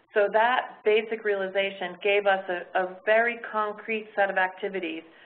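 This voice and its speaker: A woman's medium-pitched, monotone, flat voice at a moderate pace amid noticeable background noise. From North America. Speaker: fundraising consultant. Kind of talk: webinar presentation. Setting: webinar broadcast.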